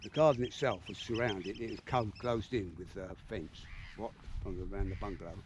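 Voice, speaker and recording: With a Southeast English accent, a man talks fairly quickly at a fairly low pitch. His pitch varies in an ordinary way, while his loudness swings widely. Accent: South-East English. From Medway, Kent, England. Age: 80s+. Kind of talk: casual conversation outdoors. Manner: reminiscing.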